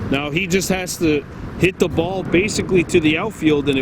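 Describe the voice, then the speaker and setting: A man's fairly high voice amid noticeable background noise. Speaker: baseball play-by-play commentator. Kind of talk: live commentary. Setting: outdoors at a ballfield. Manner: loud.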